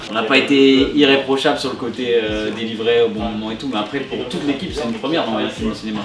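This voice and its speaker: A man with a northern French accent at a very fast pace, amid noticeable background noise and audible room echo. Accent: northern French accent, once mocked. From northern France (Nord, near Lille). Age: 20s. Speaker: YouTuber and adventure filmmaker. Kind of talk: casual chat.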